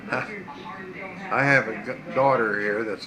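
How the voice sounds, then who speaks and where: A man speaks against noticeable background noise. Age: 80s+. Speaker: war veteran. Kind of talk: interview answer.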